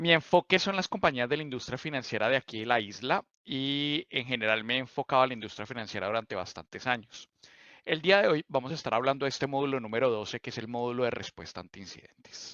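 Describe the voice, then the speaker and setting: A man with a Bogotá accent at a very fast pace, medium pitch with ordinary pitch variation, big swings in loudness, a bright, sharp tone, dry, close sound with no echo and a quiet background. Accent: Colombian, Bogotá. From Colombia, Bogotá. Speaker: cloud solutions architect. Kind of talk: technical presentation.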